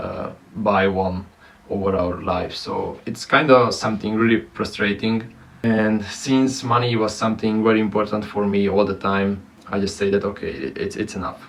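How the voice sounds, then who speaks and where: A man speaks at a moderate pace with a non-native accent, his pitch fairly low. His intonation stays fairly even. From Romania. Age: 20s. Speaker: content creator. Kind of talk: personal vlog monologue. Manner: halting, many fillers.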